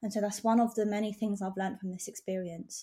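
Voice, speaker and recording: In a very clean recording with a silent background, a woman speaks at a medium pitch with a dark, mellow tone that is somewhat breathy. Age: 20s. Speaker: nail artist. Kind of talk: casual interview chat.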